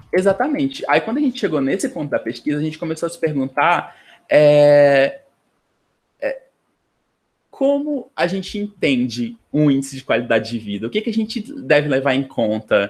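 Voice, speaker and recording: Pausing long and often, a man speaks at a fairly high pitch with very wide pitch swings. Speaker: graduate student presenting a class. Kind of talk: online lecture tutorial. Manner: fast; hesitant, many fillers.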